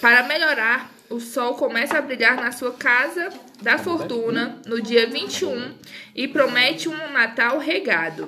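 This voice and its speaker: A woman speaks very slowly in a high pitch with ordinary pitch variation, over noticeable background noise. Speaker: podcaster. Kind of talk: casual chat; reading aloud.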